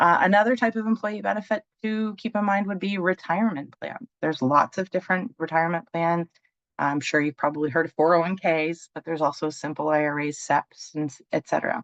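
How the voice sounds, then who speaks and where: Lively intonation and a fairly quick pace from a woman, in a dry, close sound with no echo. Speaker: benefits presenter. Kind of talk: webinar presentation. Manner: fast.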